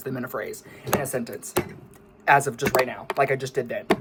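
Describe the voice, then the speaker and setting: Noticeable background noise sits under speech delivered at a very fast speed. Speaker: musician vlogger. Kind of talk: casual vlog monologue. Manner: stuttering, misspeaks often.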